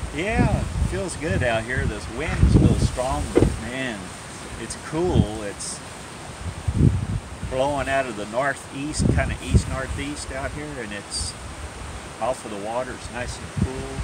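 Speech at a very slow pace with long, frequent pauses comes through a dry sound with no echo, over loud background noise. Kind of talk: casual vlog chat. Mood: cheerful, relaxed. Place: garden. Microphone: phone near.

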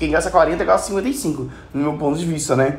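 A man with a Brazilian accent speaks at a moderate pace with ordinary pitch variation. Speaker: gaming youtuber. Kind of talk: tutorial.

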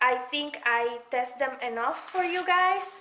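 A woman speaks slowly in a high pitch with lively intonation. Her tone is bright and sharp, and the room echo is audible.

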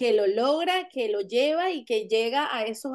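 A woman is speaking. Her intonation is lively. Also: quiet background. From Venezuela. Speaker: actress; actress interviewee. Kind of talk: interview; interview answer. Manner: halting, many fillers and repetitions. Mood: warm, smiling. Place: home room. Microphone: video call.

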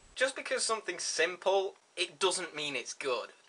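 The man's pace is moderate, and his pitch moves in an ordinary way. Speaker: video blogger. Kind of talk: casual vlog chat, argumentative. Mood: sarcastic, mocking. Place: home room. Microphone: webcam.

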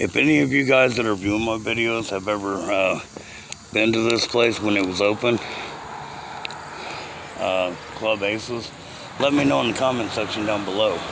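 A man with a fairly low pitch and ordinary pitch variation talks at a moderate pace with long, frequent pauses. The sound is dry with no echo, though there is noticeable background noise. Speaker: explorer vlogger. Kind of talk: casual vlog chat. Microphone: phone near.

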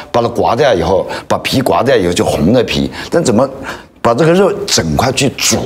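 This man's pitch swings very widely. His loudness stays very even throughout. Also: moderate pace. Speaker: restaurant owner; talk show guest. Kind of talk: casual chat. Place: studio.

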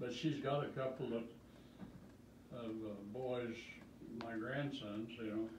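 A man at a fairly slow pace with fairly even intonation, long, frequent pauses and noticeable background noise. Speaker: retired great-grandfather. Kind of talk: casual chat. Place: home room.

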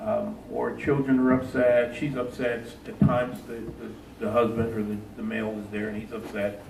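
A man keeps his intonation fairly even as noticeable background noise and audible room echo surround his voice. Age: 60s. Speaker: police trainer. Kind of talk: panel discussion. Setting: town hall meeting. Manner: loud.

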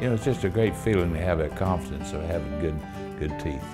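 Clear music plays behind a man with a very deep, low pitch. His intonation is lively. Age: 80s+. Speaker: dental patient. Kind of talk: interview answer. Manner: easy-going, cheerful. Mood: calm, content. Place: office.

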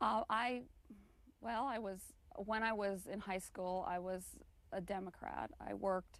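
At a fairly slow pace with long, frequent pauses, a woman talks in a medium pitch with ordinary pitch variation, the sound dry with no echo. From US South. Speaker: author and magazine editor. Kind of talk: interview. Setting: studio. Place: studio. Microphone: lapel.

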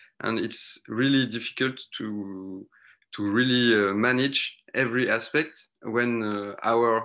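A man's bright, sharp voice with fairly even intonation against a quiet background. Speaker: presenter. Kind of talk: online workshop talk. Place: home room. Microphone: video call.

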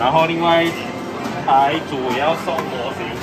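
Loud music fills the background. Over it, a man talks. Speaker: claw machine vlogger. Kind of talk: casual vlog chat. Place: shop.

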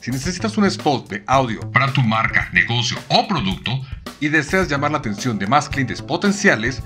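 Over music in the background, a man at medium pitch talks at a moderate pace with lively intonation. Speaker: voice actor. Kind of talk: promotional pitch to listener.

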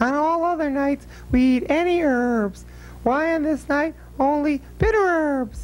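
A cartoonish character voice talks at a high pitch and a fairly slow pace. Background noise is clearly heard. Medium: puppet show. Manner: sassy, wisecracking.

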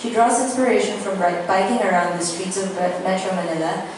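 Strong room echo surrounds a woman talking at a fairly quick pace. Noticeable background noise is also present. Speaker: event host. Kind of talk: event introduction. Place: hall.

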